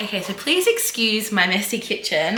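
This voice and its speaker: A woman's moderate-paced speech in an Australian accent, over noticeable background noise. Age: 30s. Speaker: lifestyle vlogger. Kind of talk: casual talk to camera.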